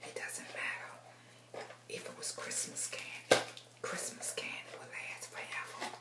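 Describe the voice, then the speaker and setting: A woman is whispering. Her pace is fairly slow. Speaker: ASMR creator. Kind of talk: ASMR whispering. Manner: whispered. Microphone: phone near.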